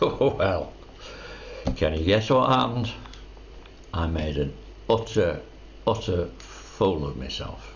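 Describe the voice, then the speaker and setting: A man with a very deep, low voice speaks at a very slow pace, his pitch swinging very widely, with long, frequent pauses. Audible room echo and noticeable background noise fill the recording. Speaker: retired man telling life story. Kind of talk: personal storytelling monologue. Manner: halting.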